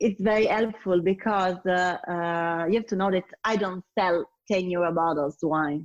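Against a quiet background, with a dry, close sound and no echo, a woman talks fairly slowly with hardly any pauses, very even loudness and fairly even intonation. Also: medium pitch for a woman. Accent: Italian. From Italy, Turin. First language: Italian. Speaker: sommelier and wine business founder. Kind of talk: interview. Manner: halting with many fillers.

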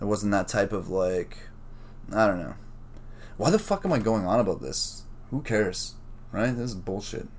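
Pausing often and at length, a man speaks at a moderate pace with a fairly low pitch and ordinary pitch variation. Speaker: podcast host. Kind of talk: solo casual monologue. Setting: home during lockdown. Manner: rambling, loose and profane.

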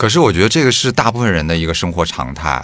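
A man talks at a very fast pace with very wide pitch swings. Noticeable background noise runs underneath. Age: 30s. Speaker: podcast co-host. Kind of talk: casual chat.

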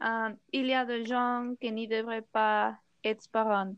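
A woman speaks very slowly in a flat monotone at a fairly high pitch. The background is quiet. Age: 20s. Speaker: philosophy teacher. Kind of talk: panel debate. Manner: hesitant, many fillers.

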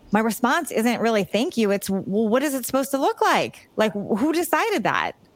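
This woman has an ordinary speaking voice, fairly high in pitch. She talks at a moderate pace with lively intonation. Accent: American. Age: 50s. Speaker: fitness coach and author. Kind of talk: interview.

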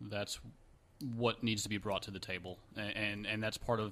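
Bright and sharp in tone, a man with a fairly low pitch speaks at a fairly quick pace. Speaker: real estate investor. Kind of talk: interview answers.

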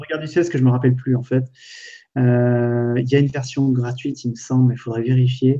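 A man's very fast, monotone, flat delivery at a medium pitch, with a dark, mellow tone. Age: 30s. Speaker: entrepreneur and web video creator. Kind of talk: casual live stream chat. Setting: online live video stream.

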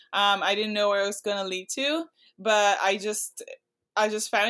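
On a very clean recording with a silent background, a woman with a Portuguese accent speaks at a moderate pace in a bright, sharp tone. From Brazil. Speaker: pro climber. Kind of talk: casual interview.

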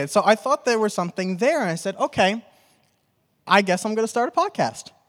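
A man with an American accent talks in a high pitch with very wide pitch swings. His pace is fairly quick, and the sound is dry and close with no echo. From New York. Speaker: podcast host. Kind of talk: live panel discussion. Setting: stage with audience.

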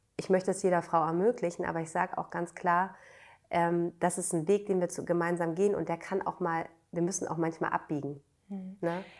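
A woman speaks in a normal speaking voice at a fairly quick pace, her fairly low pitch held to fairly even intonation on a very clean recording with a silent background. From northern Germany, Schleswig-Holstein (Bad Segeberg). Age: 30s. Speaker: midwife. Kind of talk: interview conversation.

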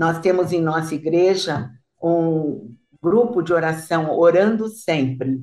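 A woman with a Brazilian accent, a fairly low pitch and a dark, mellow tone, speaking at a very slow pace with ordinary pitch variation. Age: 80s+. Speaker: guest speaker. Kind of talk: casual chat.

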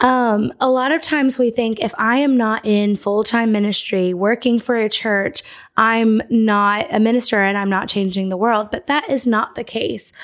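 A woman talks at a moderate pace with hardly any pauses, her pitch fairly high. Hers is an ordinary speaking voice with ordinary pitch variation. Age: 20s. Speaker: podcast host. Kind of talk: casual chat.

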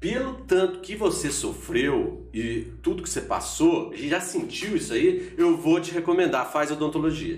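A man speaks at a fairly slow pace, with hardly any pauses. Room echo is audible, and music plays in the background. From Minas Gerais, Brazil (Borda da Mata). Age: 40s. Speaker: university professor. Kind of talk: casual chat. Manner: talkative.

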